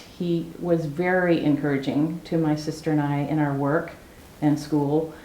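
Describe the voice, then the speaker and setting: A woman with an American accent speaks at a moderate pace amid noticeable background noise and audible room echo. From US Pacific Northwest (Salem, Oregon). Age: 70s. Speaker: criminologist. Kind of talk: oral history interview.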